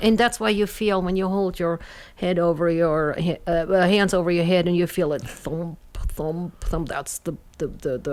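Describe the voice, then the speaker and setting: A woman's fairly low-pitched voice with a slight German accent, fairly even intonation and a moderate pace. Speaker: doctor and former research professor. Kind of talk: casual radio interview. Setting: radio studio.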